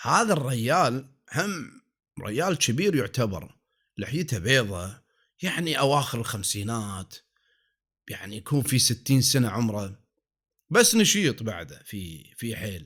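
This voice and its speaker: Here a man speaks with a Kuwaiti accent at a medium pitch. His pitch swings very widely, and the recording is very clean with a silent background. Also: fairly slow pace. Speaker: storyteller. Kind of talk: folk tale narration. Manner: calm, soothing.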